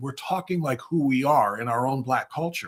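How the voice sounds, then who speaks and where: A man with an Ohio accent talks at a fairly quick pace in a fairly high pitch, with a bright, sharp tone and ordinary pitch variation. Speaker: conservative livestream host. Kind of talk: political commentary talk.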